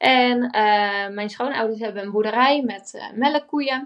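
Using a normal speaking voice, a woman talks at a fairly slow pace and fairly high pitch, with fairly even intonation. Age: 20s. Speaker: entrepreneur. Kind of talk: interview.

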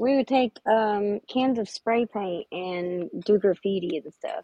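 A woman's plain, everyday voice, medium pitch, lively intonation and a fairly slow pace. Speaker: game show contestant. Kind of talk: casual chat.

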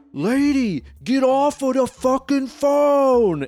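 In a put-on character voice with a New York accent, the speaker talks very slowly in a high, resonant pitch over music in the background. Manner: angry, shouting.

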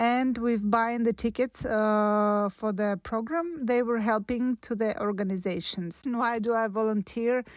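Speaking at a fairly slow pace, a woman keeps very even loudness and fairly even intonation in a dry, close sound with no echo. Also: fairly high pitch for a woman, hardly any pauses, very clean recording, silent background. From Russia (Podolsk near Moscow). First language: Russian. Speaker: doctor and volunteer. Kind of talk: prepared recorded statement.

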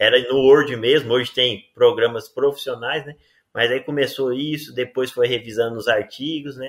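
Loudness swings widely as a man speaks at a moderate pace in a medium pitch. His intonation is monotone and flat. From Rio Verde, Goiás, Brazil. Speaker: agronomy professor and journal editor. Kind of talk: interview.

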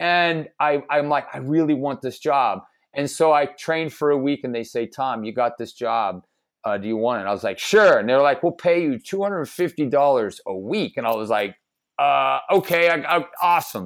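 On a very clean recording with a silent background, a man with a plain, everyday voice speaks at a moderate pace, his pitch fairly high and his intonation lively. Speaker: caricature artist. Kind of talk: casual interview chat.

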